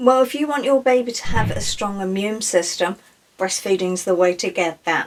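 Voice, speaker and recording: Over noticeable background noise, a woman with a slight Irish accent speaks at a moderate pace with very wide pitch swings. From Ireland. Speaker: breastfeeding specialist. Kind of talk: casual Q&A chat.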